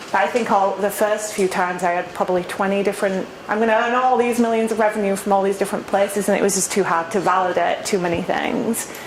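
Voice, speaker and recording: With an English accent, a woman speaks at a medium pitch, very fast and with hardly any pauses. Her loudness stays very even, and noticeable background noise can be heard. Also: fairly even intonation. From England. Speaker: startup founder. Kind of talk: Q&A talk at a meetup. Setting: meetup with live audience.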